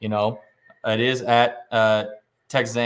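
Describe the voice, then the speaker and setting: With a Midwestern US accent, a man speaks at a medium pitch in a monotone, flat intonation. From southwest Iowa. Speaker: sports betting podcast host. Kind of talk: casual chat. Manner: hesitant, many fillers.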